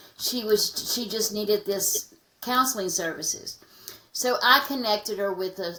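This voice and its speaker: With an American accent, a woman talks at a moderate pace and medium pitch with ordinary pitch variation over noticeable background noise. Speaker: anti-trafficking advocate. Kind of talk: podcast interview. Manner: halting.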